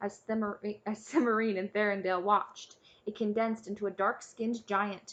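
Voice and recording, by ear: A passage is read out loud. The delivery sounds natural.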